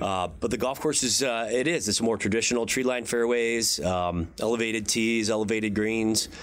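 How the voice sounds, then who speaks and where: A man with an unremarkable speaking voice talks at medium pitch and a moderate pace. He keeps a very even loudness with hardly any pauses. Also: ordinary pitch variation. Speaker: golf club director. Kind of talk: interview.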